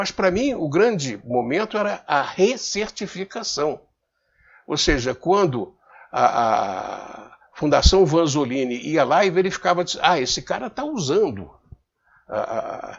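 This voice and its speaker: Delivered at a fairly slow pace, the speech has very wide pitch swings. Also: man, high pitch for a man. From Rio de Janeiro, Brazil. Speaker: business commentator. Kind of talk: casual talk to camera. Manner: halting, repeats words.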